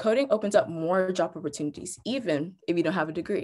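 A woman talks at a very fast pace. The background is quiet. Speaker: presenter. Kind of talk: tutorial. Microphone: webcam.

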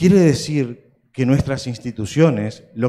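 This man has a dark, mellow tone, ordinary pitch variation and a very slow pace. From Uruguay. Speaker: opera house director; panelist. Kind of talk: conference closing speech. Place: hall. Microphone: handheld.

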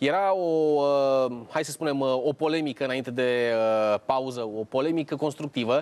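Long, frequent pauses break up this man's moderate pace. His fairly high pitch has ordinary variation. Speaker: TV show host. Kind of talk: TV talk show discussion. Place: studio. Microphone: lapel.

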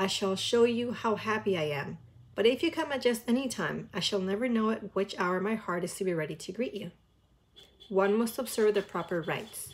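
Speaking at a fairly quick pace, a woman uses a medium pitch and ordinary pitch variation. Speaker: reaction video creator. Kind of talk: casual reaction chat, with a passage from a book read aloud. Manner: chatty, filler-heavy and enthusiastic in between. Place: home room. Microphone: earbuds.

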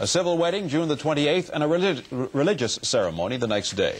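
The speaker is a man. He talks fairly quickly. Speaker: television news co-anchor. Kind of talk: television news anchor delivery. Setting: 1970s broadcast TV news recording.

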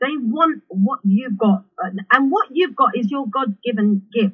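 With the background quiet, a woman speaks at a fairly slow pace. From London, England. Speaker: house music singer, DJ and songwriter. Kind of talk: interview answer, personal life story. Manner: reflective, conversational, emotional. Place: home room. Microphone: video call.

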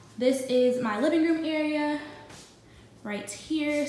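A fairly slow pace, with audible room echo and light background noise. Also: woman. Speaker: vlogger. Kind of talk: casual vlog chat. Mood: upbeat, pleased. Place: home room. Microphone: phone near.

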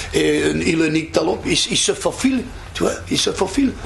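A man sounds animated over noticeable background noise. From Belgium. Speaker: actor. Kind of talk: interview answer. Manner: animated, humorous storytelling.

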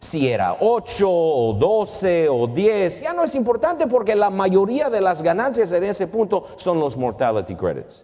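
With an English accent, a man talks in a high pitch with very wide pitch swings and hardly any pauses, over a quiet background. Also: fairly slow pace. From Canada. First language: English (speaking Spanish). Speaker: finance professor. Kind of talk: lecture. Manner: halting, mixing in English words. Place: stage. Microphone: lapel.

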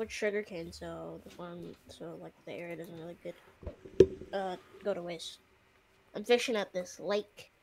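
A woman's voice with long, frequent pauses, big swings in loudness, and loud background noise. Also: moderate pace. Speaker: friend playing the game along; streamer. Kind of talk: casual gameplay chat. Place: home room.

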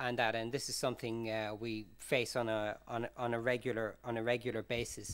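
At a moderate pace, a man talks with an Irish accent. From Ireland. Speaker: humanitarian forensic expert; conference presenter. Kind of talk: conference talk. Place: hall.

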